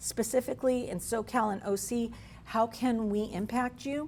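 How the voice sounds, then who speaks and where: A woman speaks with vocal fry. Her pitch is fairly high. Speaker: state workforce training agency representative. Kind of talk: presentation to business audience. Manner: fast.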